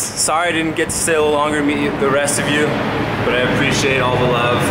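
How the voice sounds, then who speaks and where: A man speaks at a very fast pace. Loud background noise fills the recording. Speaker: athlete vlogger. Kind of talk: casual vlog chat. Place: hall. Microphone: phone near.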